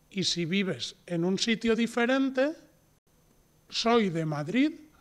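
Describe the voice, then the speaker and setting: Very slowly, a man gets his words out. His pitch rises and falls dramatically. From Spain. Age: 40s. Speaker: Spanish teacher. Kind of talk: tutorial. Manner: slow, clear.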